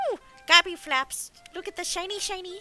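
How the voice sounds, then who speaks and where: A put-on character voice runs at an extremely high pitch and a fairly quick pace. Clear music sits in the background. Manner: gleeful, excited.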